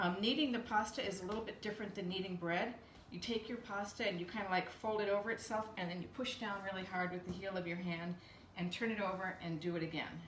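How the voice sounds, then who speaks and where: A woman talks at a very fast pace with audible room echo and light background noise. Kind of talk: tutorial. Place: kitchen. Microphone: camera far.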